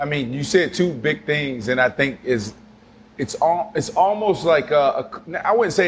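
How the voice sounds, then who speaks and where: Pitched fairly high, a man speaks at a fairly slow pace with lively intonation. Noticeable background noise is present. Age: 30s. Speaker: podcast host, former NFL player. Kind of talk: casual chat.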